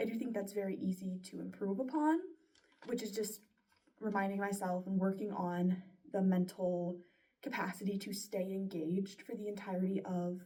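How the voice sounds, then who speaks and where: A woman's somewhat breathy, dark, mellow voice at a moderate pace with fairly even intonation. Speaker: student voice performer. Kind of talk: spoken self-reflection. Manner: conversational.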